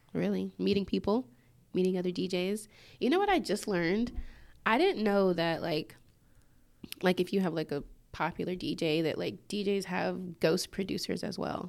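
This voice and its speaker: A woman speaks at a fairly quick pace with vocal fry and ordinary pitch variation, in a very clean recording with a silent background. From Georgia, US. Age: 20s. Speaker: DJ. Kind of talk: casual chat interview.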